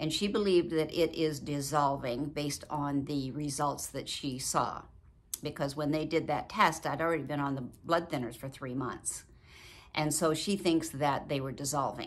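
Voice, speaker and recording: Her pitch very deep and low, a woman talks at a moderate pace with fairly even intonation. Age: 70s. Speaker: video blogger. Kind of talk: personal vlog talk. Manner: warm, chatty. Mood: earnest, somewhat worried. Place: home room. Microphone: phone near.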